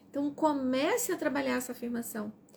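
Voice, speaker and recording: With noticeable background noise behind her, a woman speaks at a high pitch. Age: 60s. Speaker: self-help presenter. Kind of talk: live stream book reading with commentary.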